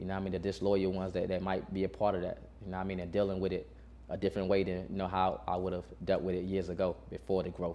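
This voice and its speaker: A man talks very fast in a very deep, low voice with vocal fry and ordinary pitch variation. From North Carolina, Burlington. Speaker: rapper. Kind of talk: interview.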